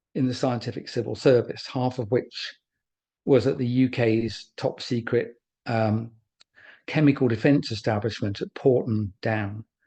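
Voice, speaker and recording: Over a quiet background, a man speaks at a moderate pace with a medium pitch and fairly even intonation. His tone is dark, mellow and somewhat breathy. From England. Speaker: former pharmaceutical research scientist. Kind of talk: webinar presentation. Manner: hesitant, with fillers and repeats.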